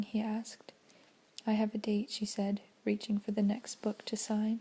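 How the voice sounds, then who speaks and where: Soft-spoken delivery at a moderate pace. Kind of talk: audiobook-style reading of a novel, ASMR. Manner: soft-spoken, relaxing.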